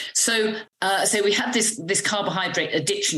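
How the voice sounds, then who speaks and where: Speaking with a British accent at a moderate pace, a woman with a fairly high pitch is heard with audible room echo. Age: 60s. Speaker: medical doctor. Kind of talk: interview. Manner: hesitant with fillers.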